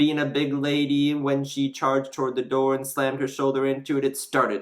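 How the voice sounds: A natural reading voice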